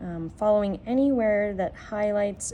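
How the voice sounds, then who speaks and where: The voice has a dark, mellow tone and ordinary pitch variation. Room echo is audible. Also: woman. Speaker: art teacher. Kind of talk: tutorial.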